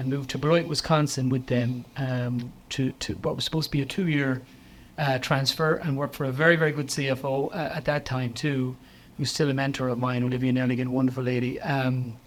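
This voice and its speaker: Someone talks at a fairly quick pace with an Irish accent and fairly even intonation. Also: man, medium pitch for a man. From West of Ireland. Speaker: chief financial officer. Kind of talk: interview.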